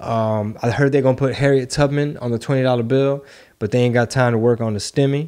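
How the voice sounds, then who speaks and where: A man's dark, mellow tone at a fairly quick pace against a quiet background. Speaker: comedian and podcast host. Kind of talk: casual chat. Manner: animated. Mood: dry joking tone. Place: studio. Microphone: studio mic.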